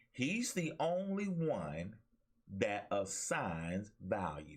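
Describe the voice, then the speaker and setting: Animated in tone, a man with an Alabama accent speaks with very wide pitch swings. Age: 50s. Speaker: talk show host and pastor. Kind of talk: motivational preaching in a talk show. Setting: webcam livestream. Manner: animated, preacher-like exhortation.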